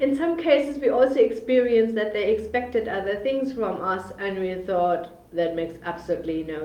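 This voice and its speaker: A woman's lively voice with a German accent at a moderate pace, with noticeable background noise and audible room echo. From Germany, Bremen. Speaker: business funding consultant. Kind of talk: live webinar presentation. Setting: livestream video on social media. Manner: hesitant, many fillers.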